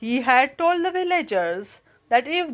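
In a very clean recording with a silent background, the voice has a gentle tone, moves very slowly and swings very widely in pitch. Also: woman. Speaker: storyteller reading stories aloud. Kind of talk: fairy-tale story narration, children's audiobook reading. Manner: gentle, expressive storytelling pace.

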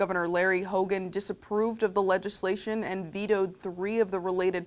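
Fairly quick in pace, a woman speaks at a medium pitch in an unremarkable speaking voice. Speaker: news co-anchor. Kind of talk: television newscast. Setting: TV studio. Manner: cheerful, bubbly in chat.

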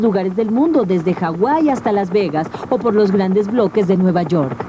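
Noticeable background noise fills the clip. Over it, a woman speaks fairly quickly. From Latin America. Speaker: voice-over dubbing actress. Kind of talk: TV show voice-over narration about video games.

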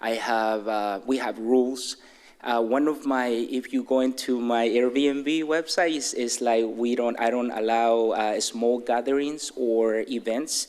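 Speaking at a fairly slow pace, a man with a Mexican accent keeps a medium pitch and fairly even intonation. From Mexico City. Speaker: resident speaking at public comment. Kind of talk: public comment at council meeting. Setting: city council chamber. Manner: halting, unprepared.

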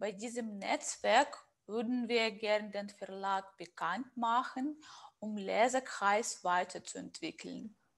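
In a very clean recording with a silent background, a woman with a Russian accent speaks very slowly in a fairly high pitch with ordinary pitch variation. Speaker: interviewer. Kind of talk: interview.

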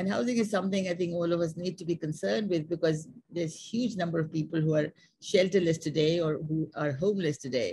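A very fast pace, ordinary pitch variation and a somewhat breathy voice. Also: woman, fairly low pitch for a woman. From Pakistan. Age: 80s+. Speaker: architect. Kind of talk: seminar talk and Q&A answers over video call. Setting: video call. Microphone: video call.

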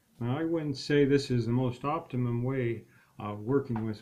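At a fairly slow pace, a man speaks with an American accent and a dark, mellow tone. His pitch is medium, with ordinary variation. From United States. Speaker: English teacher. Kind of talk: self-introduction to camera. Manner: hesitant, many filler words. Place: home room. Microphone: webcam.

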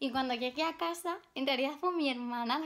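A woman speaks at a fairly quick pace in a high pitch, with ordinary pitch variation over a quiet background. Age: 20s. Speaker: YouTuber, collector; collector vlogger. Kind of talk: casual vlog. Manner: hesitant with many fillers. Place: home room. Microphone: phone near.

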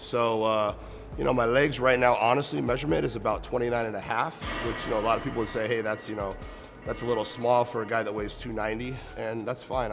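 With clear music in the background, a man talks at a very fast pace in a fairly low pitch with fairly even intonation. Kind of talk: interview answer. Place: gym.

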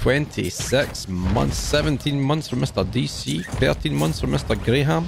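The speaker goes at a very slow pace with very wide pitch swings. Clear music plays in the background, and the sound is dry with no echo. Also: man, very deep, low pitch for a man. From UK. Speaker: gaming streamer. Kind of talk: casual live stream chat while gaming. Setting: live stream with voice chat. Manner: animated.

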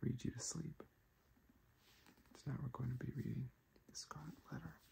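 A soft-spoken man talks over light background noise. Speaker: ASMR creator. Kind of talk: casual talk to camera. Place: home room. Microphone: phone near.

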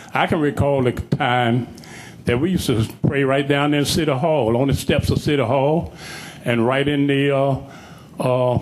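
A man with a fairly high pitch speaks at a moderate pace amid noticeable background noise. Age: 70s. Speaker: public speaker at council meeting. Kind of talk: public comment speech. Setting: council chamber.

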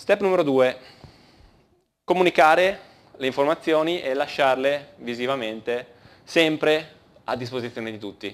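A man speaks at a fairly slow pace with long, frequent pauses, big swings in loudness and ordinary pitch variation. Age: 30s. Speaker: conference speaker, engineering team leader; conference speaker. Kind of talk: conference talk. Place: hall.

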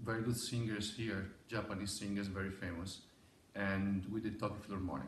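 With an Italian accent, a man talks in a fairly low pitch and fairly even intonation, with audible room echo and light background noise. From Italy. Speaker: opera conductor. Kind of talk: promotional message. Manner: halting with fillers. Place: hall. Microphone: camera far.

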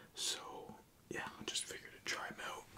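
A man's relaxed whispering at a fairly quick pace. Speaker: ASMR content creator. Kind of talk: casual talk to camera. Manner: whispered, relaxed. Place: home room.

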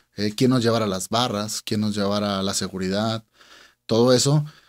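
In a quiet background, a man speaks with fairly even intonation. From Monterrey, Nuevo León, Mexico. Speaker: music event promoter; guest. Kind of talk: casual interview. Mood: relaxed, conversational. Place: studio. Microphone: studio mic.

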